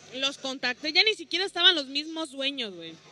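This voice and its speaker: Noticeable background noise sits behind a woman's high-pitched voice. She speaks at a fairly quick pace. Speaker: stand-up comedian. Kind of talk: casual chat.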